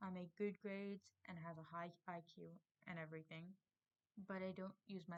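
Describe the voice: This is plain reading aloud with fairly even intonation against a quiet background.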